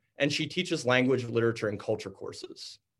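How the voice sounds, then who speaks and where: A man speaks very fast in a somewhat breathy voice. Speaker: panel moderator. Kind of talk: panel moderation. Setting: video call.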